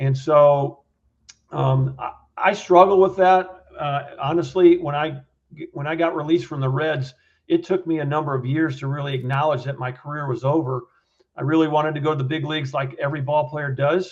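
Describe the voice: At a moderate pace, a man speaks with a fairly high pitch and fairly even intonation.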